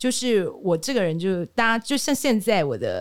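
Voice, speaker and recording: A woman's animated, fairly high voice at a moderate pace, with very wide pitch swings. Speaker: speech and communication trainer. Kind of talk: interview.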